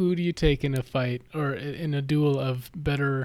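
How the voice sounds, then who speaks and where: A man's plain, everyday voice, fairly high in pitch, with fairly even intonation. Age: 40s. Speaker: podcast guest, movie fan. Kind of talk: casual chat.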